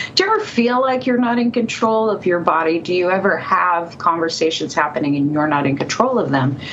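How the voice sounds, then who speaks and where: Someone with an American accent talks fairly quickly, hardly pausing, with very wide pitch swings at very even loudness. Room echo and noticeable background noise can be heard. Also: woman, fairly low pitch for a woman. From California. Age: 50s. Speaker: psychic and author. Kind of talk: interview storytelling.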